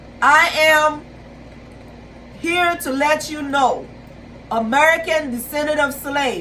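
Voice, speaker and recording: With a Caribbean accent, a woman with a high pitch speaks very slowly in a raised, projected voice, leaving long, frequent pauses amid noticeable background noise and audible room echo. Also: fairly even intonation. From Haiti. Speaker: YouTuber, pan-Africanist commentator. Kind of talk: video monologue / commentary. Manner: halting, with fillers and repetitions.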